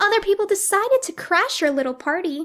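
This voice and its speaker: A woman puts on a squeaky character voice at an extremely high pitch. She races along very fast with lively intonation. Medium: audio drama.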